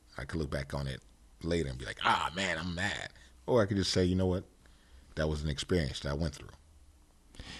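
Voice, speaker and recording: A man speaks at a fairly quick pace with vocal fry and a very deep, low pitch. His pitch variation is ordinary, and the background is quiet. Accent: American. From Connecticut, Bridgeport/Stratford area. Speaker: hip-hop producer and record dealer. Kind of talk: interview. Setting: studio.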